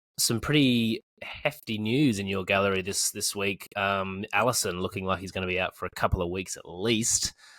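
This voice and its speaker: An Australian-accented man, fairly low in pitch, with ordinary pitch variation and hardly any pauses. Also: moderate pace, very clean recording, silent background. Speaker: fantasy football podcast host. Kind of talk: casual chat. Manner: hesitant, many ums.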